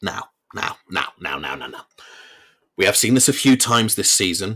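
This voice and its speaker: A man with an English accent speaks at a moderate pace in a fairly low pitch with ordinary pitch variation. His tone is bright and sharp, and his loudness swings widely. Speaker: football podcast host. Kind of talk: solo podcast match review. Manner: stuttering today. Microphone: recording without his usual computer setup, technical issues.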